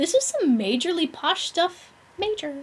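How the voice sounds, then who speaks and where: In a squeaky, put-on character voice with an extremely high pitch, a woman speaks at a moderate pace. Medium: game stream. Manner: upbeat, slangy.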